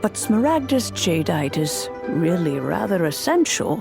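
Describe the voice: Over clear music in the background, a woman puts on a character voice at a fairly slow pace. Her pitch is fairly low, with vocal fry and big pitch swings.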